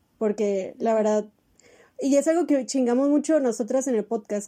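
High-pitched and with lively intonation, a woman speaks. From Mexicali, Baja California, Mexico. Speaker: podcast host. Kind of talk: casual chat.

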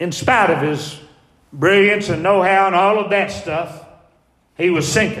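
Audible room echo surrounds a man with a Southern US accent who speaks fairly slowly at a high pitch, with ordinary pitch variation and long, frequent pauses. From US South. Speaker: pastor. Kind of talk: sermon.

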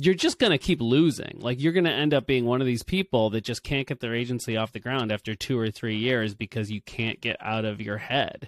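A man's medium-pitched, ordinary speaking voice with ordinary pitch variation and hardly any pauses, on a very clean recording with a silent background. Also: fairly quick pace, dry, close sound with no echo. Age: 40s. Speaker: video ad agency founder. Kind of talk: interview.

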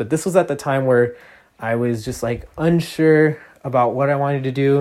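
A man talks in an animated tone with ordinary pitch variation. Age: 20s. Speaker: music producer and DJ podcaster. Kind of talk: solo monologue podcast. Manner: rambling, animated.

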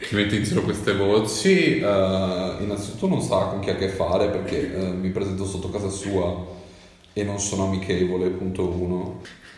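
A man speaks in a fairly low voice with monotone, flat intonation. Audible room echo and noticeable background noise fill the recording. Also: moderate pace. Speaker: podcast guest, amateur actor. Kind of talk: casual chat. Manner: talkative.

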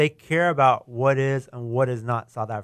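Speaking with an American accent, a man has a fairly high pitch. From Texas, Houston area (Katy). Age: 40s. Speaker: restaurant co-founder. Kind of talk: casual interview.

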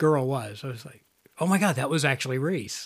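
In a very clean recording with a silent background, a man with a plain, everyday voice talks at a moderate pace, his fairly high pitch showing ordinary variation. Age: 50s. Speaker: podcast host, movie reviewer. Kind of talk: casual chat.

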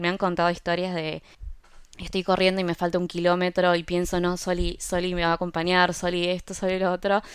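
On a very clean recording with a silent background, a woman speaks at a moderate pace in a fairly low, monotone voice with flat intonation. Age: 30s. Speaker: product designer and health influencer. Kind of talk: interview conversation.

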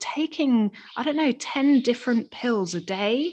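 A woman speaks in an English accent at a high pitch. Her intonation is lively. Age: 30s. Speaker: podcast co-host. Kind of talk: casual chat.

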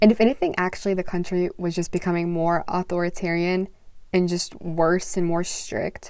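A woman talks in an unremarkable speaking voice at medium pitch with an American accent. Her intonation stays fairly even. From US South, Mississippi. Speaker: university student. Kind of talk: interview.

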